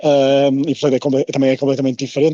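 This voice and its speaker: At a fairly quick pace, a man speaks with fairly high pitch. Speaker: sports correspondent. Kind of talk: casual chat. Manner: halting.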